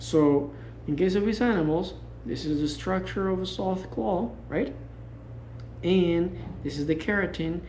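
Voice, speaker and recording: Someone with a Spanish accent talks at a moderate pace, with long, frequent pauses. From Costa Rica. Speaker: wildlife sanctuary tour guide. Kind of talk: guided tour explanation. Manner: halting.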